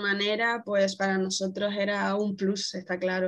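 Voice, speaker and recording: Fairly slow speech from a woman at a medium pitch. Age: 20s. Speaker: traveler. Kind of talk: casual interview.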